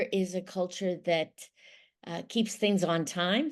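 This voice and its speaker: In an American accent, a woman with a normal speaking voice talks at a fairly slow pace and medium pitch. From Ohio, USA. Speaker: intercultural mediator. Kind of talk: podcast interview answer.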